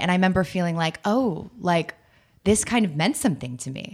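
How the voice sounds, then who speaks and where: A woman speaks at medium pitch and a fairly quick pace. Her intonation is lively. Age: young. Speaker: writer and dating expert. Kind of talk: casual interview chat. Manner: animated.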